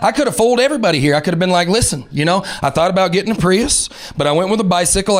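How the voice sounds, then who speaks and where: Over noticeable background noise, a man with a Southern US accent speaks at a high pitch with lively intonation. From Alabama, Southern US. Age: 30s. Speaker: stand-up comedian. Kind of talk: stand-up comedy set. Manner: fast, high-energy.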